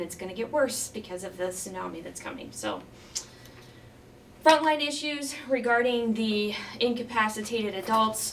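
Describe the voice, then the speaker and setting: A woman talks amid noticeable background noise, with audible room echo around her. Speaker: county judge. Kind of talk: presentation talk. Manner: fast.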